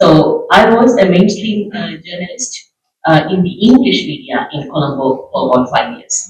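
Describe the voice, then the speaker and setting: Speaking in a Tamil accent, a man uses a high pitch with very wide swings. His pace is moderate. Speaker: journalist. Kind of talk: panel discussion.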